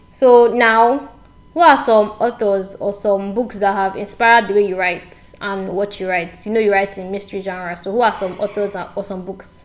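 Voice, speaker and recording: Noticeable noise sits behind a woman talking at a moderate pace. Her medium-pitched voice keeps a fairly even intonation but swings widely in loudness. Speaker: podcast host, writer and blogger. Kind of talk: interview. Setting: sat down together for interview.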